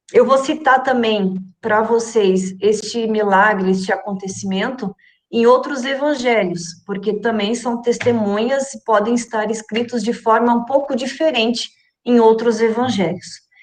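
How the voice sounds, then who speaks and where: A woman talks fairly slowly in a plain, everyday voice, fairly high in pitch with ordinary variation. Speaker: Bible study teacher. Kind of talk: Bible study lesson.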